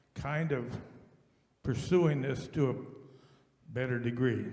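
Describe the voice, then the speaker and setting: The room's echo can be heard around this man's voice. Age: 80s+. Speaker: farmer, audience member asking a question. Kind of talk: audience question.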